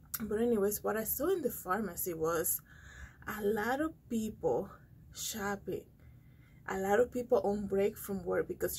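The voice is dark, mellow and somewhat breathy, with ordinary pitch variation. Light background noise sits behind it. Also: woman. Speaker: vlogger. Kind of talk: casual vlog chat. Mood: calm, slightly amused. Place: studio. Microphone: phone near.

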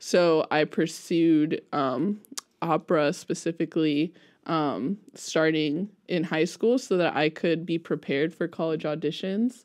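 Her pitch is fairly low for a woman, and her pace is fairly slow. The background is quiet. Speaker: music teacher guest. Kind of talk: interview answer. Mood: relaxed, friendly. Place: studio. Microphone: studio mic.

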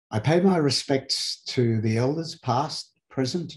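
A man is speaking. His voice is somewhat breathy. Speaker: webinar host. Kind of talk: formal welcome address. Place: home room. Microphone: webcam.

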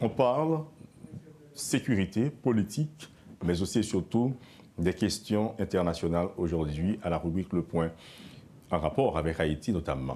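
With a dark, mellow tone and very even loudness, the voice moves at a fairly slow pace through very wide pitch swings and long, frequent pauses, with light background noise. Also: man, very deep, low pitch for a man. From Haiti. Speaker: radio and TV news host; TV show host. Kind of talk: interview. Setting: studio. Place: studio. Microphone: lapel.

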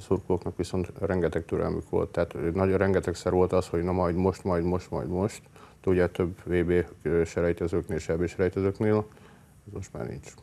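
A man speaks at a moderate pace in a very deep, low pitch, with a dark, mellow tone and fairly even intonation. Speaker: football supporter group representative. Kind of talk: interview answers. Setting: TV studio. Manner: halting, frequent fillers. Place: studio.

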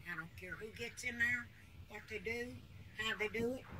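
A woman speaks with lively intonation over light background noise. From Appalachia. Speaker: grandmother telling stories. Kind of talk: interview answer. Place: home room. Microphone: phone near.

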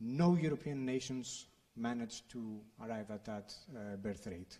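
A man with a Greek accent, very slow pace and ordinary pitch variation, against a quiet background. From Greece. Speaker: think tank director, former journalist; speaker. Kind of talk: panel discussion. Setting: stage with audience. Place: hall.

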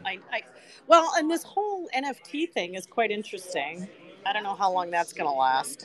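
Very wide pitch swings in a woman's medium-pitched voice. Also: moderate pace. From France. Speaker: meetup attendee. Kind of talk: casual interview at meetup. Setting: live event crowd, meetup venue.

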